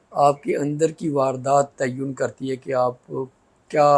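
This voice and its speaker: Fairly high pitch from a male speaker, delivered in a monotone with flat intonation. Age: 80s+. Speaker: poet and academic. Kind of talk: interview. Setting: studio.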